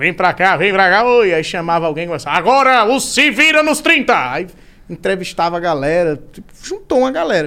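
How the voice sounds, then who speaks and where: Raised and projected, the man's voice has a bright, sharp tone, a high pitch and very wide pitch swings. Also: moderate pace. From Maceió, Northeast Brazil. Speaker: comedian. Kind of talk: casual chat.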